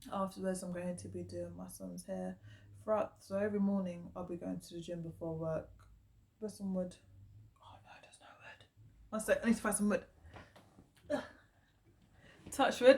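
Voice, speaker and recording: A woman with a British accent talks at a moderate pace. She leaves long, frequent pauses, and her loudness swings widely. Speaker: vlogger. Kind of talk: casual vlog monologue.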